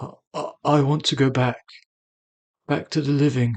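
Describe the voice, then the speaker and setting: Putting on a shaky character voice, a man talks at a moderate pace with a fairly high pitch and a monotone, flat intonation. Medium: read story. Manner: shaky, desperate.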